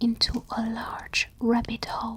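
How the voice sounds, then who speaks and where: The speech is whispered at a very slow pace. Noticeable background noise is present. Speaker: ASMR storyteller. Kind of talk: bedtime story reading. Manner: soft-spoken.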